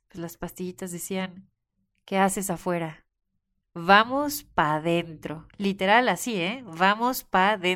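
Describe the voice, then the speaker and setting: A woman speaks at a very slow pace with big swings in loudness on a very clean recording with a silent background. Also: medium pitch for a woman, ordinary pitch variation. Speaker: podcast host. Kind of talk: reflective solo monologue. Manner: casual, laughing often.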